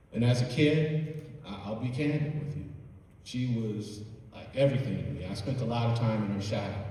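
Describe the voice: Strong room echo surrounds a man speaking at a moderate pace in a dark, mellow, medium-pitched voice with ordinary pitch variation.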